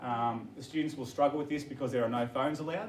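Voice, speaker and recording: An Australian-accented man at a fairly quick pace, with audible room echo. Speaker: teacher presenting to parents. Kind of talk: information evening presentation. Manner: fast.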